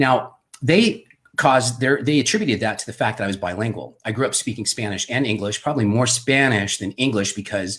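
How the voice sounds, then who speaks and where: A man with a normal speaking voice, a fairly quick pace and ordinary pitch variation. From Southern California, US. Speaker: wine and drinks video host. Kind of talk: casual personal storytelling livestream. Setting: home studio. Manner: casual, many fillers.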